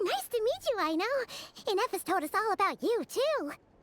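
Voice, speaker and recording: A squeaky, put-on character voice at an extremely high pitch. It moves at a fairly quick pace. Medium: video game. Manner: casual, friendly.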